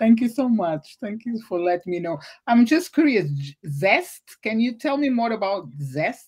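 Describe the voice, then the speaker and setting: A woman's somewhat breathy voice moves at a fairly slow pace through very wide pitch swings. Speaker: podcast host. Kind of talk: livestreamed interview. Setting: video call livestream.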